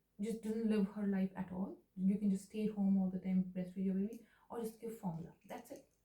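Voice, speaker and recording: A woman with a dark, mellow tone and a somewhat breathy voice speaks at a moderate pace, her pitch medium and its variation ordinary. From India. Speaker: new mother, video diarist. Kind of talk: personal video diary addressed to her baby son. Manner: emotional, ranting.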